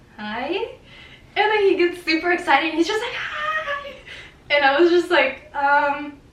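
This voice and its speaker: A woman speaks with an extremely high pitch and very wide pitch swings at a moderate pace. Long, frequent pauses and audible room echo mark the clip. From Mexico. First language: Spanish. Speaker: vlogger. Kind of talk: casual storytelling.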